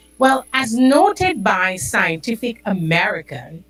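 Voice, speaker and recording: Over music in the background, a woman speaks at a very slow pace with very wide pitch swings. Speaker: podcast host. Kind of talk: health talk podcast.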